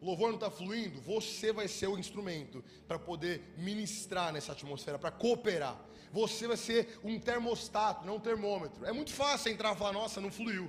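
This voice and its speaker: The speaker has an animated tone and ordinary pitch variation at a moderate pace. Room echo is audible, and background noise is noticeable. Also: man, high pitch for a man. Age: 20s. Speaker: youth pastor. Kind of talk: sermon. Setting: church.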